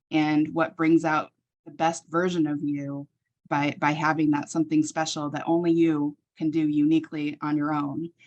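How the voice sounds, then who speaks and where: A woman's fairly low-pitched voice, an ordinary speaking voice, against a quiet background. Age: 40s. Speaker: healthcare professional. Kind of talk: casual conversation.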